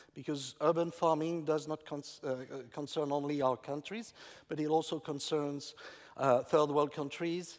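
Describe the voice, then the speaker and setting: Speaking at a moderate pace with a French accent, a man uses a fairly high pitch and fairly even intonation. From France. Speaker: urban farming entrepreneur. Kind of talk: conference talk. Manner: halting.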